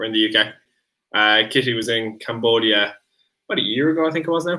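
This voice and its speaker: This male speaker has an Irish accent. His voice sits at a medium pitch. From Ireland. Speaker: streamer's boyfriend. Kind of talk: casual chat. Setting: live stream.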